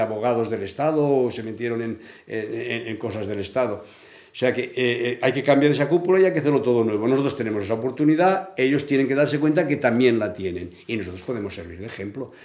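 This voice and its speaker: In a quiet background, a man's lively intonation comes at a very fast pace. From Catalonia. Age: 70s. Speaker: interviewee. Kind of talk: interview. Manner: halting. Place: home room.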